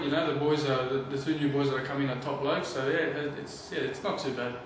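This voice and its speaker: A man at a very fast pace, with audible room echo and light background noise. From Australia. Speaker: professional footballer. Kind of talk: interview answer. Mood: relaxed, friendly. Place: home room.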